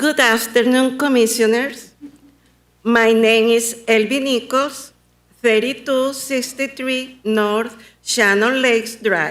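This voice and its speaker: Her voice is high-pitched, with fairly even intonation and very even loudness, as this woman speaks at a very slow pace amid audible room echo. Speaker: local artist, public commenter. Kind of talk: public comment at council meeting. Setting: county commission meeting.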